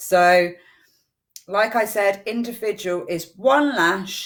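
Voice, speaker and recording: Speaking in an unremarkable speaking voice, a woman keeps a medium pitch while her intonation stays lively. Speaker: eyelash extension trainer. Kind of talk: live-streamed tutorial. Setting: Facebook live stream.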